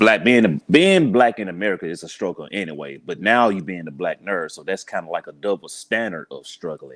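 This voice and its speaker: With a Southern US accent and lively intonation, a man speaks fairly quickly at a fairly low pitch, hardly pausing and swinging widely in loudness. The recording is very clean with a silent background and a dry, close sound with no echo. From US South, Birmingham, Alabama. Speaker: police officer and podcaster. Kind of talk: casual interview.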